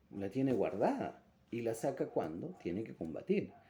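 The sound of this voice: A man speaks at a medium pitch with big pitch swings. His tone is dark and mellow with a slightly husky edge.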